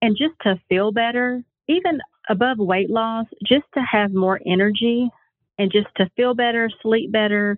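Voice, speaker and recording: A woman speaks in a plain, everyday voice with ordinary pitch variation. Her pace is fairly slow. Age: 40s. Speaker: health coach. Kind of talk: casual interview. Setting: phone call.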